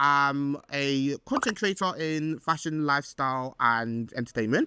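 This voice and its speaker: This man speaks with a London accent. His pace is fairly slow, and his intonation is lively. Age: 20s. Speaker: podcast host. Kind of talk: casual chat. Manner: animated.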